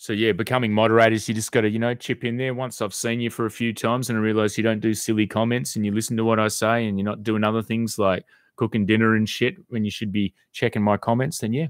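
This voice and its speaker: A man rattles along at a very fast pace with hardly any pauses and monotone, flat intonation, on a very clean recording with a silent background. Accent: Australian. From Western Australia, Perth. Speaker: YouTube live streamer. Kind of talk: live stream chat with viewers. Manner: casual, hesitant with repetitions.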